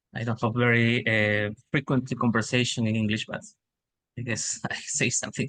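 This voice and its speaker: A man's medium-pitched voice with a Spanish accent, bright and sharp in tone, at a moderate pace with fairly even intonation and long, frequent pauses. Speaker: webinar participant. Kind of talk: casual sharing in webinar. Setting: online webinar. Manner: halting, hesitant.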